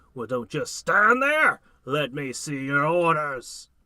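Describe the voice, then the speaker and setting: Raised and projected, a man's booming put-on character voice moves at a fairly slow pace with a fairly high pitch and lively intonation. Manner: commanding, impatient.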